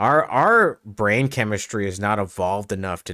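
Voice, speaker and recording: On a very clean recording with a silent background, a man speaks in a very deep, low voice. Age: 40s. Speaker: gaming streamer. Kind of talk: casual chat. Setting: home streaming setup. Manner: loud.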